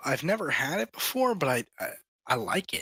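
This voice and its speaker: In a very clean recording with a silent background and a dry, close sound with no echo, a man's raised, projected voice runs high in pitch with a bright, sharp tone, very wide pitch swings and a moderate pace. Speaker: game community staff lead. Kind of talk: casual chat. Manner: halting, many fillers.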